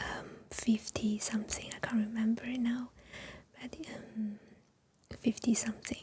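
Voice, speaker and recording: A woman whispers rather slowly, stopping often for long pauses. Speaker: Chinese teacher. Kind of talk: ASMR chat. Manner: soft-spoken, whispered; slow, hesitant.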